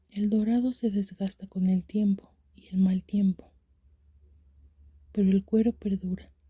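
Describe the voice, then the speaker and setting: Soft-spoken whispering at a fairly slow pace. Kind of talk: story reading. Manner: whispered; soft-spoken, relaxing.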